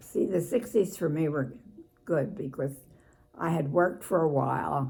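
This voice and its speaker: A woman with an American accent speaks in a very deep, low pitch with a dark, mellow tone and vocal fry. Her intonation is lively and her pace moderate. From Philadelphia. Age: 80s+. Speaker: former Navy Department worker. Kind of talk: interview answer.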